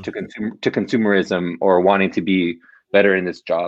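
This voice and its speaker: This man has a normal speaking voice, fairly low in pitch, with an American accent. His pace is fairly quick. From Los Angeles, US. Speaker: marketing professional and author. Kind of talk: casual interview.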